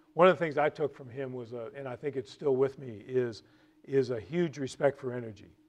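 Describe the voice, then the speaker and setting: This man has a medium pitch and ordinary pitch variation. He talks at a fairly quick pace with big swings in loudness. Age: 60s. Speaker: real estate executive. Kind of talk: lecture. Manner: halting, many repetitions.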